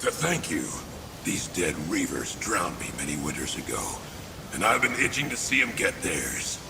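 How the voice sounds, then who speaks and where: Someone uses a put-on character voice at a moderate pace. Loud noise fills the background. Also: man. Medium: machinima. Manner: wry, rough.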